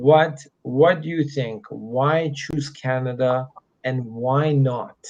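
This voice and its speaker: Quietly and at a very slow pace, a man speaks at a medium pitch with fairly even intonation. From Middle East. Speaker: immigration consultant. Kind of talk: live Q&A stream. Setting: hotel room. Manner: speaking slower and quieter.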